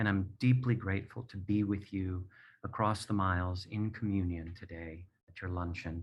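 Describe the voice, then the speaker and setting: An unremarkable speaking voice moves at a moderate pace with fairly even intonation. The background is quiet. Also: man. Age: 60s. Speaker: playwright and performer, abuse survivor. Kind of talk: personal testimony. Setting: video call from home.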